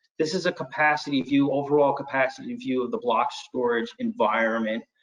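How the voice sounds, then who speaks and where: A fairly high-pitched man at a fairly quick pace, with very wide pitch swings. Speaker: IT storage solutions presenter. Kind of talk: webinar product demo. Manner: fast; hesitant, with fillers.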